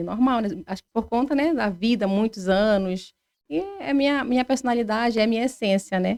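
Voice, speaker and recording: At a moderate pace, a woman speaks in a dry, close sound with no echo. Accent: strong Pará. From Pará, Brazil (Salinópolis, coast). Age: 30s. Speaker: podcast guest. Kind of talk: casual interview.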